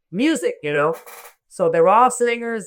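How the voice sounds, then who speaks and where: Recorded very cleanly against a silent background, the speaker has a Miami accent. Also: woman. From Miami, Florida (born in Cuba). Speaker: reggae singer. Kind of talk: interview.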